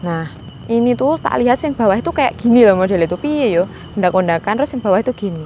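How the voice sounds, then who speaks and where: At a very fast pace, a woman talks at a medium pitch with very wide pitch swings over noticeable background noise. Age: 20s. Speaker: podcast guest with mystical experiences. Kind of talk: casual interview storytelling.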